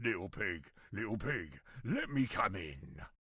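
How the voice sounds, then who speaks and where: Using a put-on character voice, a man sounds raspy and gruff at a fairly low pitch and a fairly slow pace. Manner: coaxing, menacing.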